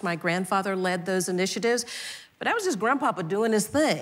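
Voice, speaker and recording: An animated woman with an American accent and ordinary pitch variation, with noticeable background noise. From US South, Atlanta. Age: 60s. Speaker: nonprofit CEO. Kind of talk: onstage conversation. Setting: conference stage with audience. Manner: animated storytelling.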